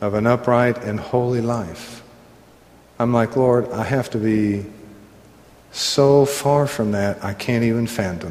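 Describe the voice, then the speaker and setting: In a Southern US accent, a man speaks at a very slow pace with ordinary pitch variation. Long, frequent pauses break up his speech over noticeable background noise. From US South. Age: 60s. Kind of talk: sermon-style Bible teaching. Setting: room with live audience, microphone. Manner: jovial, laughs often and teases.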